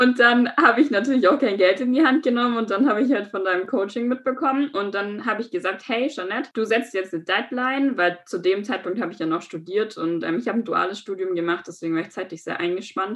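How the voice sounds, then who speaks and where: The intonation here is lively. It is an ordinary speaking voice. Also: woman. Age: 20s. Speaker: aspiring model and business informatics graduate. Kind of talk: interview.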